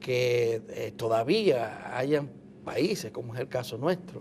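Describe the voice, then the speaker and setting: This man's voice has a dark, mellow tone and very wide pitch swings. He talks at a very slow pace. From Dominican Republic. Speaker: TV interviewer. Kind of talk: TV interview.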